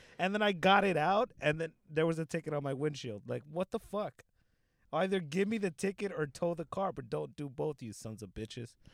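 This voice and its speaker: Someone with an American accent and a plain, everyday voice talks at a fairly quick pace with lively intonation. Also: man, fairly high pitch for a man, very clean recording, silent background. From Los Angeles, South Central. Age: 20s. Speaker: comedian. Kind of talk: casual chat.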